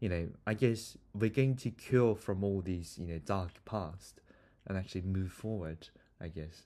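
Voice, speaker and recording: In a very clean recording with a silent background, a man with a Korean accent speaks at a moderate pace in a very deep, low pitch, his dark, mellow tone showing ordinary pitch variation and long, frequent pauses. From South Korea. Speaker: podcast host and student interviewer. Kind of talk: casual interview conversation.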